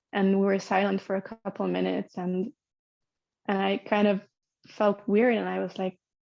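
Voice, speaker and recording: At a moderate pace, a speaker talks in a Hungarian accent. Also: woman. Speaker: podcast guest sharing birth story. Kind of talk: personal storytelling interview. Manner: halting, many fillers and repeats.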